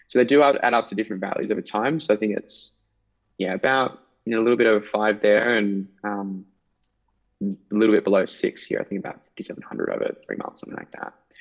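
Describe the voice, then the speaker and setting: A man speaks very fast with an Australian accent and a fairly low pitch. His intonation is fairly even, while his loudness swings widely. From Tasmania, Australia. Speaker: salesperson. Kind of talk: sales call.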